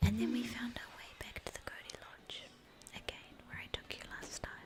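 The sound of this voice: A woman whispers at a fairly quick pace. Vocal fry runs through her voice.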